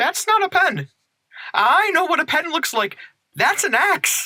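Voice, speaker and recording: An extremely high-pitched, squeaky put-on character voice, delivered at a fairly slow pace. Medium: audio drama. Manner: plain-spoken, humble.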